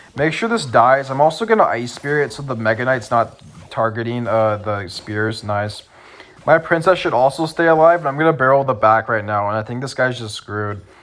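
A man speaks at a fairly quick pace in a medium pitch, with an animated tone and ordinary pitch variation, over noticeable background noise. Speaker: gaming youtuber. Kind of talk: gameplay commentary. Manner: casual, animated.

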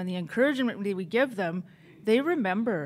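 In a very clean recording with a silent background, a woman with a Canadian Prairie accent talks at a moderate pace in a fairly high pitch with ordinary pitch variation. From northern Saskatchewan, Canada. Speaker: chef. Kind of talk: conference presentation.

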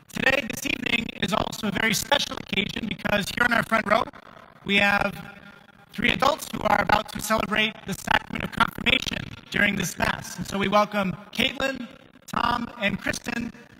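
With noticeable background noise, a man uses a raised, projected voice with fairly even intonation. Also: moderate pace. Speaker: priest leading Mass. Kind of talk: liturgical address. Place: church.

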